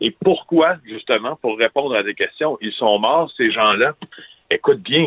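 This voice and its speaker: This man's voice sits at a fairly high pitch. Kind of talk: interview.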